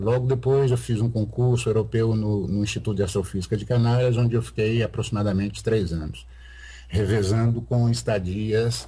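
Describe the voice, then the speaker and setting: Somewhat breathy and fairly low, a man's voice has a dark, mellow tone and ordinary pitch variation. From Brazil, Sete Lagoas (Minas Gerais). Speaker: astrophysicist. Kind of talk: interview. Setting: video call. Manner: halting, many fillers.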